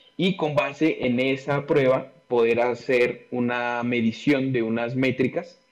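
This is an unremarkable speaking voice from a man. His pitch sits in the medium range, and his intonation stays fairly even. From Colombia, Pasto (Nariño). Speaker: industrial engineer and business consultant. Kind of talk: interview.

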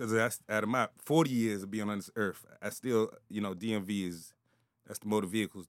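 A man's voice, dry and close with no echo, in a very clean recording with a silent background. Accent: American. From Prince George's County, Maryland, on the DC line. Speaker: podcast guest. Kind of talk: casual chat.

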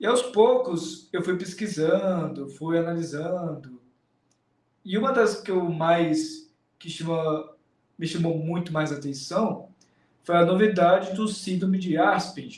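A man with a high voice talks at a very slow pace, his pitch varying in an ordinary way, with audible echo from the room. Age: 20s. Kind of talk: interview.

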